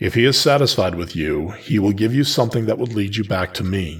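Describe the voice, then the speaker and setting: Putting on a character voice, a man growls at a moderate pace in a fairly low pitch. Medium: read story. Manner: measured, stern, probing.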